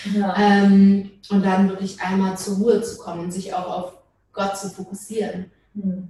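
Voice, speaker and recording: Flat, monotone delivery at a fairly slow pace, with big swings in loudness. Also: woman, medium pitch for a woman. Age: 20s. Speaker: social work student, church member. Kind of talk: casual interview.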